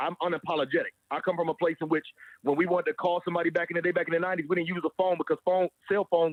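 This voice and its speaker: Loud and very fast, a man with an American accent speaks at a high pitch in a monotone, flat way. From Alabama, US South. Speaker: podcast guest. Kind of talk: casual chat. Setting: phone call.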